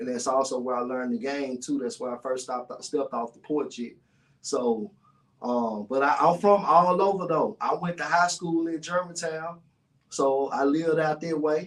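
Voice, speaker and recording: At a moderate pace, a man speaks in a Memphis accent. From US South, North Memphis, Tennessee. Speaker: podcast host and guest. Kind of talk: casual interview chat. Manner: halting, many fillers.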